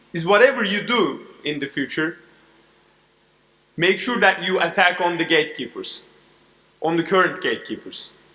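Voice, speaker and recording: A man with a Turkish accent, high in pitch, with ordinary pitch variation, a moderate pace, long, frequent pauses and noticeable background noise. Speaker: corporate advisor. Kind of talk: keynote speech. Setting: stage with audience.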